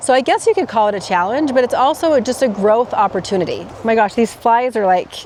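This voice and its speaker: A woman rattles along at a very fast pace with hardly any pauses, her fairly high voice full of lively intonation, amid noticeable background noise. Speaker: life coach podcaster. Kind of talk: casual vlog monologue. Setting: outdoors in a forest by a roadside. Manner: self-corrects, mumbling.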